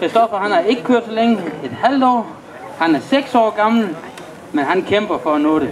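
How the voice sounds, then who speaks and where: A man's high pitch and lively intonation at a fairly slow pace, with long, frequent pauses and crowd noise in the background. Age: 40s. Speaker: motocross rider and event announcer. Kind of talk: announcing riders at a public demonstration.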